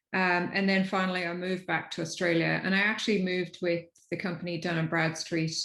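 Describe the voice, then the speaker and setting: With an Irish accent, a woman of fairly low pitch talks at a fairly quick pace, her intonation fairly even. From Ireland. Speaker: technology executive. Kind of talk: panel discussion. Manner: halting.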